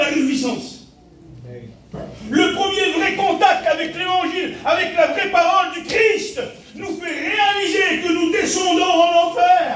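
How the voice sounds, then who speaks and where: A loud man's voice at an extremely high pitch, very slow pace, with noticeable background noise and audible room echo. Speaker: pastor. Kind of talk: sermon. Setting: church. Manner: animated.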